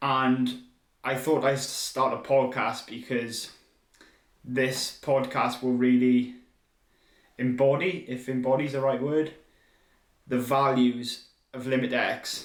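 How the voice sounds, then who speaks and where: Speaking very slowly with long, frequent pauses, the man holds a medium pitch and a monotone, flat intonation. Audible room echo surrounds his voice. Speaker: podcast host and triathlon brand founder. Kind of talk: solo podcast monologue. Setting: speaking to a camera.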